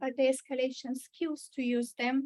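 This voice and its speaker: In a strong Bulgarian accent, a woman speaks at a fairly slow pace in a high, flat monotone, with a dry, close sound and no echo. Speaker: mental health trainer. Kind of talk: training presentation. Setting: church meeting room with video call. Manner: hesitant, many fillers.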